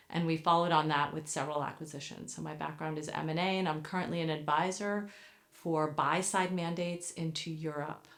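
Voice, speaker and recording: A woman talks at a fairly quick pace with a very deep, low pitch. Audible room echo is present. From United States. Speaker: business advisor. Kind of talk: interview. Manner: measured, with frequent fillers.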